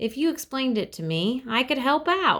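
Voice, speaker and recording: A put-on character voice that sounds female, pitched high and delivered at a moderate pace. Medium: read story. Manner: dry, sardonic.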